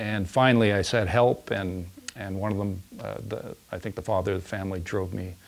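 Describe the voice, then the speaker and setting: A man speaks at a fairly low pitch and a fairly quick pace. His pitch variation is ordinary. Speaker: interviewee. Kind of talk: interview answer. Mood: earnest, reflective storytelling. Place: studio. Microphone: lapel.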